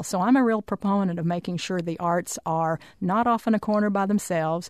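A woman with an American accent has a medium pitch and an unremarkable speaking voice. She speaks at a moderate pace against a quiet background. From Arkansas, US South. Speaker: arts agency chair. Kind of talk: radio interview. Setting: radio studio.

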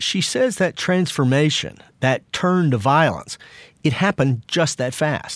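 A man with an unremarkable speaking voice, fairly high in pitch, lively in intonation and very even in loudness, at a fairly slow pace, in a very clean recording with a silent background and a dry, close sound with no echo. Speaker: podcast host and journalist. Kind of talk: true-crime podcast narration. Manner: measured, somber, serious.

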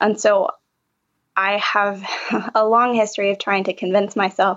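With an American accent, a woman talks at a fairly quick pace in an unremarkable speaking voice of medium pitch. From Appalachian North Carolina. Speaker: trauma therapist. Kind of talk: interview.

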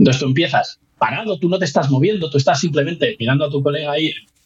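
A man speaks at a fairly quick pace with a fairly high pitch. His voice is somewhat breathy. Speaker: physics researcher. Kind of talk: casual interview. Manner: halting.

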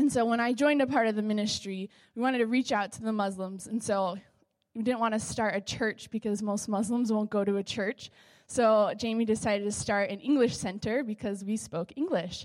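A woman talks fairly quickly with an American accent and fairly even intonation, in an unremarkable speaking voice. The recording is very clean, with a silent background. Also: fairly high pitch for a woman. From Southern California. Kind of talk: testimony.

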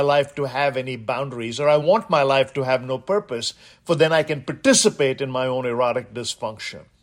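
A man speaks in an Indian accent at a moderate pace. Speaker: guest radio host. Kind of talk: talk radio monologue. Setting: studio. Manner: animated.

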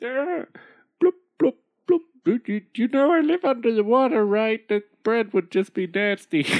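Fairly slow, fairly high-pitched speech in a put-on character voice. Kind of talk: comic overacting. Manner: bubbly burbling, increasingly irritated and sarcastic.

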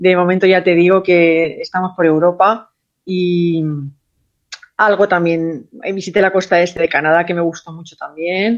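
A woman's fairly low, monotone voice at a fairly slow pace, flat in intonation. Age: 50s. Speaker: interviewee celebrating birthday. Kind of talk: casual chat. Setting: phone call.

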